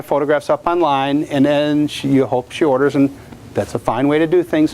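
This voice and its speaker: Noticeable background noise runs under the recording. A man speaks in a fairly high pitch. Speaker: portrait photographer. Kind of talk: lecture. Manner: loud.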